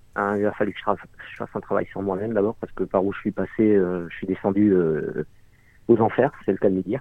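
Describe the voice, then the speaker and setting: Rushing at a very fast pace, a man with a fairly low pitch keeps fairly even intonation but shows big swings in loudness. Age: 40s. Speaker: unemployed father in debt. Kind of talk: testimony.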